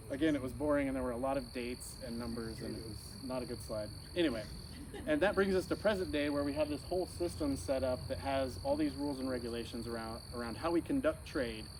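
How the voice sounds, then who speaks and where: A very fast speaker with an American accent uses lively intonation over audible room echo. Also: man, medium pitch for a man. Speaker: insect risk analyst, speaker. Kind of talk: informal talk to audience.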